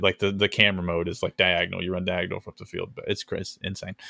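A man talks at a fairly quick pace in a fairly low voice. His intonation stays monotone and flat. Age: under 50. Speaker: gaming podcast host. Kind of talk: casual chat. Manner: hesitant, many fillers.

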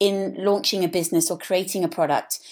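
A woman with an English accent at a moderate pace, on a very clean recording with a silent background. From England. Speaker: business founder and designer. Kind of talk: interview.

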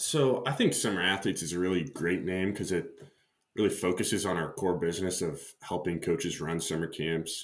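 With a Midwestern American accent, a man with a very deep, low pitch talks at a moderate pace and with ordinary pitch variation. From US Midwest, Nebraska. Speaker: startup founder and CEO. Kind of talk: interview.

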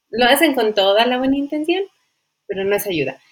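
A fairly quick female voice with pitch that swings very widely. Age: 30s. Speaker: birth-rights advocate. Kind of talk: interview.

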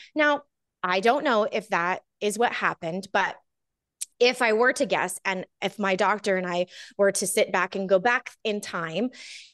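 Against a quiet background with a dry, close sound with no echo, a woman at medium pitch has an unremarkable speaking voice, ordinary pitch variation, and a fairly slow pace. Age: 40s. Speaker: small business strategist and wellness entrepreneur. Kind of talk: casual interview chat.

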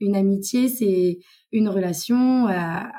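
A woman's somewhat breathy voice, medium in pitch with a dark, mellow tone, in a very clean recording with a silent background. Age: 20s. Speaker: tourism worker. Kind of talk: casual chat.

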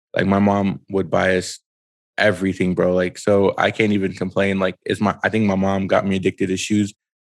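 A man with an American accent talks at a fairly quick pace, his fairly low pitch held in a monotone, flat intonation. The recording is dry and close, with no echo. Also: quiet background. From Brooklyn, New York. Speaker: sneaker show host. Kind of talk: casual chat.

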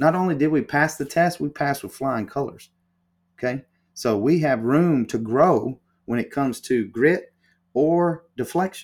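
With a Southern US accent, a man talks over a silent background in a very clean recording. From US South, Alabama. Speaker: paddle company co-founder. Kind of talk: interview.

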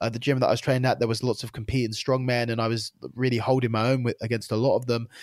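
A man with an English accent at a very fast pace, medium pitch, monotone, flat intonation, and a very clean recording with a silent background. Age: 30s. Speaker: jiu-jitsu competitor. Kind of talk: casual chat.

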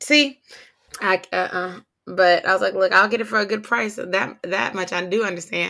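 A woman's medium-pitched voice with vocal fry, at a moderate pace. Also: ordinary pitch variation. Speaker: podcast host. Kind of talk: casual chat recap.

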